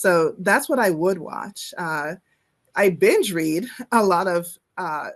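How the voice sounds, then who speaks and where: A woman's medium-pitched voice at a very slow pace, with long, frequent pauses and ordinary pitch variation. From Nigeria. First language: Igbo. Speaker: professor. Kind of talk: interview.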